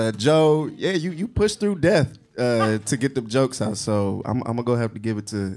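In a very clean recording with a silent background, a man with a plain, everyday voice speaks at a moderate pace and medium pitch, with lively intonation and hardly any pauses. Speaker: comedian and roast judge. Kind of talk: stand-up roast insults.

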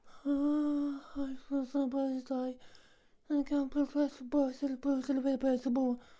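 A female-sounding, put-on character voice with a high pitch moves at a moderate pace in a monotone, flat intonation. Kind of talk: nonsense gibberish comedy voice.

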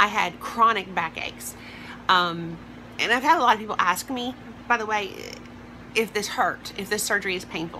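A woman with a Southern US accent talks at a moderate pace, with long, frequent pauses and ordinary pitch variation. Her loudness swings widely over light background noise. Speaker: vlogger. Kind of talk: personal vlog. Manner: hesitant, many fillers. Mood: upbeat, open, personal. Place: home room. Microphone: phone near.

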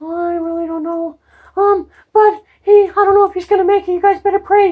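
This cartoonish character voice sits at an extremely high pitch. It moves at a moderate pace with monotone, flat intonation. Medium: puppet show. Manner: urgent, flustered.

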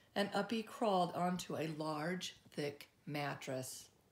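A woman speaks slowly at a low pitch with ordinary pitch variation. Room echo can be heard.

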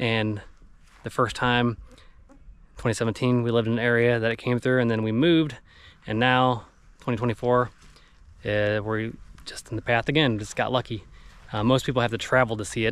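A man speaks at a moderate pace in a flat monotone, with long, frequent pauses. The sound is dry, with no echo. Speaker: family travel vlogger. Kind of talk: casual vlog chat. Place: open country. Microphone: phone near.

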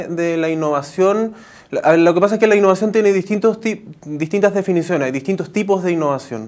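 A man's high-pitched voice shows ordinary pitch variation. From Chile. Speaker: innovation director at a technical university; interviewee. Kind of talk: TV news interview. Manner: halting, many fillers and false starts. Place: studio. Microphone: lapel.

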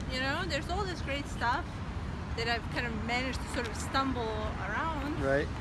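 Loud background noise surrounds a woman whose voice sounds dry with no echo. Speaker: interviewee. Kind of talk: interview answer. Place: street. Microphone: phone near.

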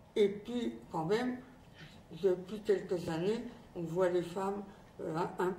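A woman's voice with light background noise and audible room echo. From France. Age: 80s+. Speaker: former resistance fighter. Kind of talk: recorded message. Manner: halting. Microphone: lapel.

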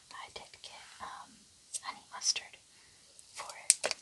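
A woman is whispering. Her words come in a whisper throughout. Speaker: ASMR mukbang creator. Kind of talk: ASMR mukbang talk. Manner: soft whispered. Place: home room.

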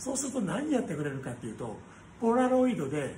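A man speaks at a very fast pace. Audible room echo and light background noise are present. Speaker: restaurant company owner. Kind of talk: casual monologue vlog. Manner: rambling, casual. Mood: cheerful, nostalgic. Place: cafe. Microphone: phone near.

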